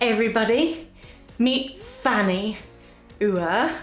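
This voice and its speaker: A woman with a British accent and warm tone, very slow pace and ordinary pitch variation, music in the background. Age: 50s. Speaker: menopause lifestyle vlogger. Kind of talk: casual talk to camera. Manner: chatty, warm, humorous.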